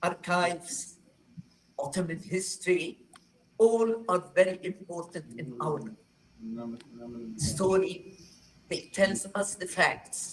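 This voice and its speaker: A woman's somewhat breathy, medium-pitched speech, very slow with long, frequent pauses, big swings in loudness and ordinary pitch variation. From northern Palestine. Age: 80s+. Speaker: historian, retired professor. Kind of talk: testimony. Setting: talking circle with audience.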